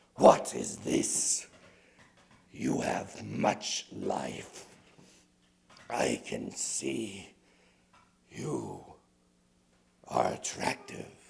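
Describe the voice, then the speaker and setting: Growling in a put-on character voice, a man speaks at a very deep, low pitch and a very slow pace, with long, frequent pauses. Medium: read story. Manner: slow, eerie, commanding.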